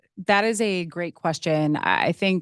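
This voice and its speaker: A woman talks with vocal fry and ordinary pitch variation, recorded dry and close with no echo and a quiet background. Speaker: policy panelist. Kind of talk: panel discussion. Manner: loud.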